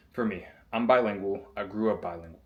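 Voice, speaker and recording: A man's fairly low voice with an American accent and fairly even intonation. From US Southeast. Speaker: basketball player and self-improvement vlogger. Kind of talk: motivational vlog monologue. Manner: casual.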